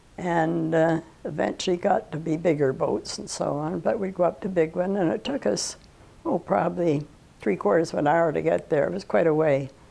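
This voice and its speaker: A woman with a Canadian accent speaks at a fairly low pitch, her tone dark and mellow with vocal fry. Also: lively intonation, moderate pace. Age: 90s. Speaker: oral history interviewee. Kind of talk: oral history interview. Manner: halting.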